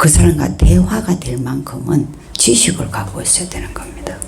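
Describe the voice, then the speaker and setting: A woman speaking at a very slow pace amid noticeable background noise and audible room echo. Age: 60s. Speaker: pastor. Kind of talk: sermon. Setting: church. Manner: animated.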